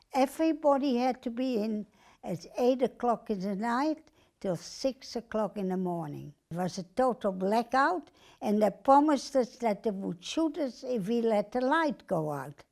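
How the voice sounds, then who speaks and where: On a very clean recording with a silent background, a woman's fairly high voice moves through very wide pitch swings. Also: moderate pace. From Netherlands (Amsterdam). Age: 80s+. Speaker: Holocaust survivor. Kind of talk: testimony. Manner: halting.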